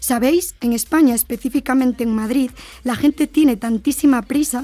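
A woman's high-pitched voice with a dark, mellow tone, ordinary pitch variation, and a Spanish accent. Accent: Spanish (Spain). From Spain. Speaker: university lecturer and podcast host. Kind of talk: podcast discussion with students.

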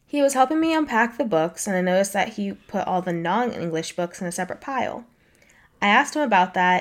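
A woman with an unremarkable speaking voice talks at a medium pitch. Her intonation is lively and her pace fairly quick. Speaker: podcast co-host. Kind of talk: casual chat, reading Reddit stories aloud.

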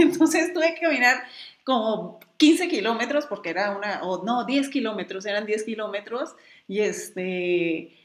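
A woman speaks in a fairly high pitch with an animated tone. Her pitch swings very widely. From Mexicali, Baja California, Mexico. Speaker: travel blogger and photographer. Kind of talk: casual chat.

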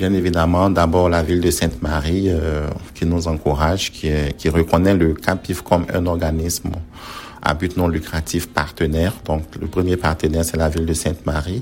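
Very deep and low in pitch, a man speaks at a moderate pace with fairly even intonation amid noticeable background noise. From Ivory Coast, Abidjan. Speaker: community organization founder. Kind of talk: interview.

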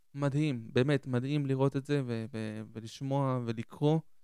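A man talks in a medium pitch. His intonation is monotone and flat. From southern Israel (Ashdod), born in Argentina. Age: 20s. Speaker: podcast host. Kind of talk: solo reflective monologue.

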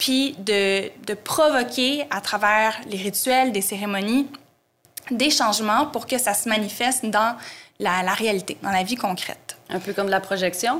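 A woman with a Quebec accent, fairly high-pitched, with ordinary pitch variation and a fairly slow pace. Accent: Québécois French. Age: 30s. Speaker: tarot and astrology teacher. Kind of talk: interview.

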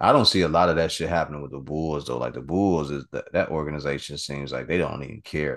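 A man speaks very fast with hardly any pauses, his very deep, low pitch carrying vocal fry and fairly even intonation. His loudness swings widely against a quiet background. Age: 40s. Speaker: podcast host. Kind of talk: casual chat.

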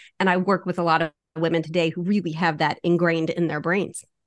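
A woman speaks in a normal speaking voice, fairly low in pitch, at a fairly quick pace. Her intonation is fairly even, and the background is quiet. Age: 50s. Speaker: fitness coach. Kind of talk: casual interview.

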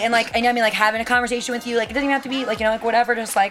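A loud, high-pitched woman's voice comes through noticeable background noise. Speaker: production assistant, film/TV set. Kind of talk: casual interview chat. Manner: fast talker, loud.

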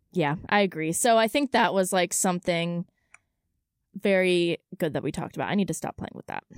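In a normal speaking voice, a woman talks at a fairly low pitch with ordinary pitch variation and big swings in loudness, the sound dry and close with no echo. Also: fairly quick pace. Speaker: student podcast co-host. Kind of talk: casual chat. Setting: studio. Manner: giggly, casual.

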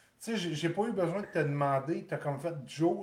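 Speaking fairly quickly with a Quebec accent, a man shows ordinary pitch variation over noticeable background noise. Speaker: podcast host. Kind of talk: casual chat.

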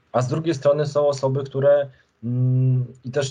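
A man's somewhat breathy, dark, mellow voice at medium pitch, with ordinary pitch variation and a moderate pace. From Poland, Lublin region (Krasnystaw). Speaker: journalist and author. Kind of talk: interview. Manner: halting, many fillers and repetitions.

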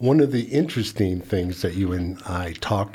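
A man with a dark, mellow tone, somewhat breathy. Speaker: college staff advisor. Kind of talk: casual interview.

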